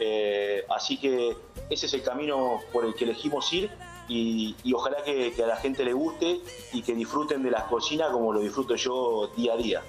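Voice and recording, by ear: Faint music plays behind a man who speaks at a medium pitch with few pauses. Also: ordinary pitch variation, moderate pace.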